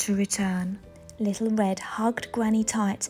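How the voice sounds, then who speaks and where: With music in the background, a woman talks in an English accent. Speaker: parent reading to children. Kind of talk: children's picture book read-aloud.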